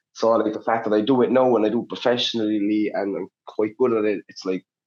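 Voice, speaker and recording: A fairly low, monotone, flat male voice with a Cork accent, a fairly quick pace and big swings in loudness. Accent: Cork Irish. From Ireland, Cork City. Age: 20s. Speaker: Muay Thai fighter. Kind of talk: casual chat.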